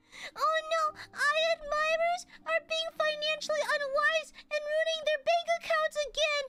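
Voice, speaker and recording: A strained, put-on character voice at an extremely high pitch and moderate pace, with music in the background. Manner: fake crying, exasperated.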